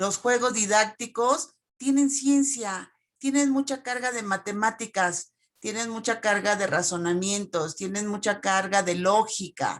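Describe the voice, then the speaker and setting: At a very slow pace, a woman speaks at a medium pitch with ordinary pitch variation. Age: 60s. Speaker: teacher. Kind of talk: Q&A comment in online talk. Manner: halting.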